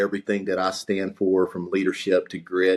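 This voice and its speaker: With a Texas accent, the speaker talks at a fairly quick pace in a very clean recording with a silent background. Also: man. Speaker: podcast host. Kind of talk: podcast interview.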